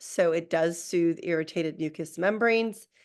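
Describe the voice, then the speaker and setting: A woman's plain, everyday voice at a moderate pace, with ordinary pitch variation and a quiet background. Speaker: Ayurveda practitioner. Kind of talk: lecture.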